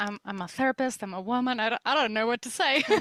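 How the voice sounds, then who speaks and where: A woman with a Spanish accent, recorded dry and close with no echo. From Spain. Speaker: psychologist. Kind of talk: podcast interview.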